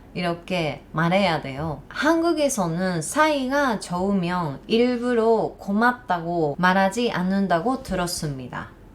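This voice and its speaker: A woman's medium-pitched voice in a Japanese accent, very slow with hardly any pauses and very wide pitch swings. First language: Japanese (speaking Korean). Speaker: YouTuber. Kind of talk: vlog talk to camera.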